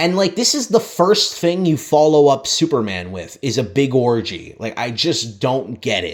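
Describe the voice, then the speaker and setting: At a moderate pace, a man speaks with vocal fry, a fairly high pitch and very wide pitch swings. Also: hardly any pauses. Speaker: TV show reviewer. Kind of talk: casual review monologue. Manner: casual, many fillers and restarts.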